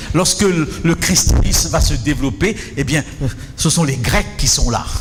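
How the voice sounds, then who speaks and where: Against music in the background and audible room echo, a man talks at a fairly slow pace with lively intonation and very even loudness. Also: fairly high pitch for a man. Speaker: preacher. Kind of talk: sermon with interpreter.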